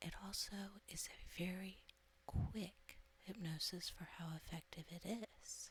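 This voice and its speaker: A soft-spoken woman at a medium pitch, fairly slow and fairly even in intonation. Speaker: hypnotist. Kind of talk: introduction to camera.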